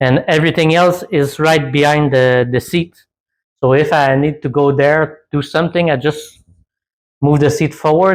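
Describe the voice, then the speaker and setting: In a very clean recording with a silent background, a man with a Quebec accent talks at a moderate pace, fairly high-pitched with fairly even intonation. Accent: French Canadian accent in English. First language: French. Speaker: DIY off-road vehicle builder. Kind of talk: tutorial. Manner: halting.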